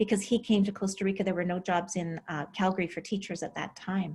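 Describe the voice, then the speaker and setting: A woman with a Canadian accent talks at a fairly quick pace in a somewhat breathy voice. Her pitch is medium, and her intonation is fairly even. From Alberta, Canada. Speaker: relocation and real estate consultant. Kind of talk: interview.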